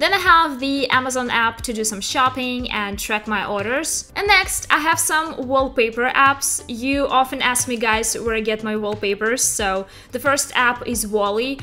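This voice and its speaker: A woman speaks at a moderate pace with a Russian accent, her high voice showing ordinary pitch variation, hardly pausing as music plays in the background. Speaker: tech YouTuber. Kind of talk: tutorial.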